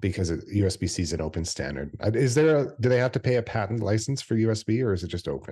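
A man with a fairly low, dark, mellow voice and vocal fry, talking very fast with lively intonation and hardly any pauses. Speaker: podcast host, academic. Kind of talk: casual tech podcast chat.

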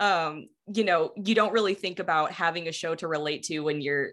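A woman with a plain, everyday voice, fairly low in pitch, speaks at a fairly quick pace with ordinary pitch variation in a very clean recording with a silent background. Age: 20s. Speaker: podcast producer and co-host, guest. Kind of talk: casual chat.

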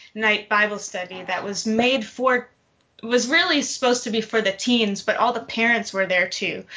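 With an ordinary speaking voice, a woman keeps a moderate speed. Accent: American. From Detroit, Michigan. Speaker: fiction writer and PhD student. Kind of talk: casual panel discussion.

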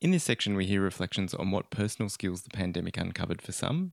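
A man with an Australian accent talks very fast in a fairly low voice. The recording is very clean and dry, close-miked with no echo and a silent background. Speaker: podcast host and library officer. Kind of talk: scripted narration.

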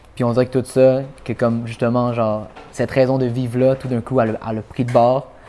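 At a fairly quick pace, a man speaks in a monotone, flat intonation with a medium pitch and a dark, mellow tone. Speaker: rapper. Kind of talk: casual chat.

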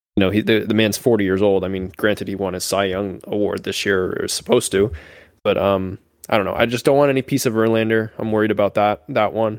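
A man with a fairly low pitch talks at a very fast pace. His intonation stays fairly even. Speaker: sports podcast co-host. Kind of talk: casual chat.

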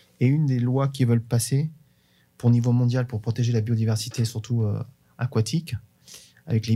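The tone is dark and mellow, somewhat breathy, with fairly even intonation at a moderate pace. The recording is very clean, with a silent background. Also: man. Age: 50s. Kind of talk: interview.

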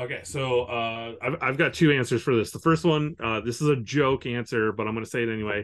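Here is a man with an unremarkable speaking voice and ordinary pitch variation. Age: 40s. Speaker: comic book letterer. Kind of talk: casual interview.

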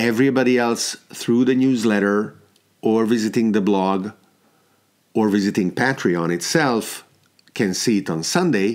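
A man with a Hungarian accent talks at a fairly slow pace with long, frequent pauses. His loudness is very even and his pitch variation ordinary. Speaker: podcast host. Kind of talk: solo podcast monologue. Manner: hesitant, filler words, reflective.

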